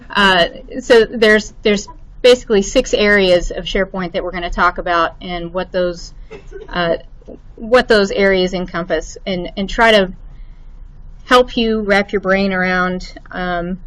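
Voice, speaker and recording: With a slight Arkansas accent, a woman of medium pitch speaks at a moderate pace with ordinary pitch variation. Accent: slight Arkansas lilt. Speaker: IT administrator. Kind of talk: lecture. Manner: halting, many fillers.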